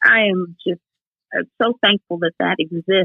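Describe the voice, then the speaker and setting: A woman's medium-pitched delivery at a moderate pace, an unremarkable speaking voice. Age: 60s. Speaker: Air Force veteran with MS, wheelchair athlete. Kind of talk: podcast interview.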